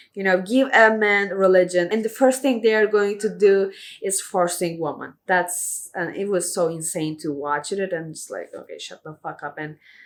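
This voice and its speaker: A woman with a non-native accent speaks in an animated tone, barely pausing. Her pitch sits in the medium range with ordinary variation. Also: moderate pace. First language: not English. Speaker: video reviewer. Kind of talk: casual review monologue. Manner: halting.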